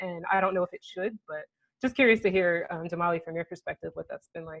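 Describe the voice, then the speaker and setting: A woman with an American accent talks very fast at a fairly low pitch, with ordinary pitch variation and a dry, close sound with no echo. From US South. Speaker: panelist. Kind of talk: panel discussion.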